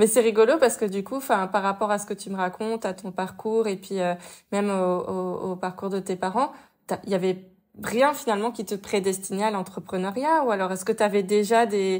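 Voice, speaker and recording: At a fairly quick pace, a woman speaks at a medium pitch with ordinary pitch variation in a very clean recording with a silent background. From southwest France, Toulouse. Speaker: podcast host. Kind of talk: interview.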